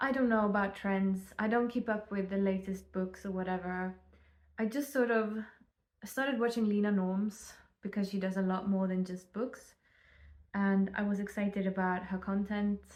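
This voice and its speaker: Medium pitch from a woman with a non-native accent, at a moderate pace and with fairly even intonation. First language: not English. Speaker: book vlogger. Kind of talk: casual vlog monologue. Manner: hesitant, many fillers.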